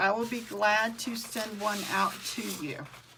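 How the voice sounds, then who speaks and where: A woman with a Southern US accent speaks at a fairly slow pace. Noticeable background noise and audible room echo surround her voice. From Mississippi (US South). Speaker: craft tutorial host. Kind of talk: live craft tutorial. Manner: casual, with frequent um fillers.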